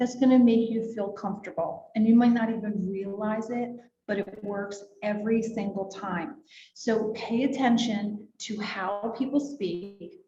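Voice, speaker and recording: Audible room echo surrounds a woman with an American accent. Her pitch is fairly high. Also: fairly even intonation, fairly slow pace. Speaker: real estate agent and trainer. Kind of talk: workshop presentation.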